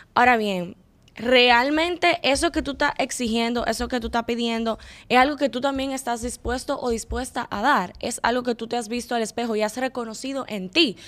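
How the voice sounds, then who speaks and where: A woman speaks in a high pitch at a moderate pace, with ordinary pitch variation. The recording is very clean, with a silent background. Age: 20s. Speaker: content creator and communicator. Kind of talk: casual chat.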